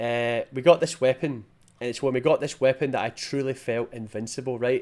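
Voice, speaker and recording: A man with a Scottish accent, fairly quick in pace and fairly even in intonation. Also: medium pitch for a man. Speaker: gaming youtuber. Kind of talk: video game review.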